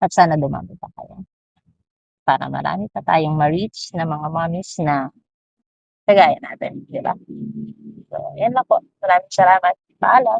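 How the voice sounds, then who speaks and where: A woman with a fairly low pitch, vocal fry and lively intonation talks at a moderate pace, with long, frequent pauses and big swings in loudness. The sound is dry and close, with no echo. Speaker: parent vlogger. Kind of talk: personal vlog monologue.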